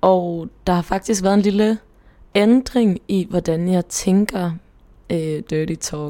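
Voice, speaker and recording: At a very slow pace, a woman speaks at a medium pitch in a dark, mellow tone, with ordinary pitch variation. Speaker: podcast co-host. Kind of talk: casual chat.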